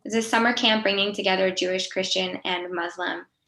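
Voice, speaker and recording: A woman with an American accent has a plain, everyday voice. She speaks at a medium pitch with fairly even intonation. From US, Pennsylvania. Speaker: nonprofit executive, peacebuilder. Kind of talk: panel talk.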